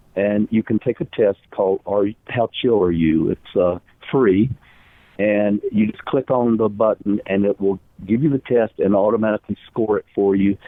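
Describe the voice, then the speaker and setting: Here a man speaks at a moderate pace in a fairly low-pitched voice. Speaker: author and psychotherapist. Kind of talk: interview. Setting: radio show.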